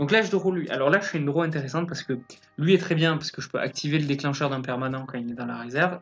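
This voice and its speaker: With music in the background, a man talks at a very fast pace and a fairly high pitch. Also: ordinary pitch variation. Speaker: card game commentator. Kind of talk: commented gameplay replay. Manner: hesitant, many fillers.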